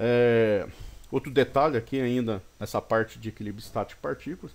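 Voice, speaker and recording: Pitched in the middle range, a man's voice moves with ordinary pitch variation. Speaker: engineering teacher. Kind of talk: recorded lecture. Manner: fast at times; halting, many false starts.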